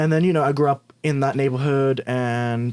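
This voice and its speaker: With an Australian accent, a man speaks at a medium pitch with fairly even intonation. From Australia, Sydney (Bankstown). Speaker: LGBTQ+ influencer. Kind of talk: podcast interview.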